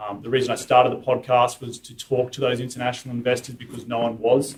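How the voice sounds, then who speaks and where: With an Australian accent, a man talks at a very fast pace in a monotone, flat intonation, his loudness swinging widely over noticeable background noise. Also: medium pitch for a man. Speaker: real estate investor and podcaster. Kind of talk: talk at investor meetup.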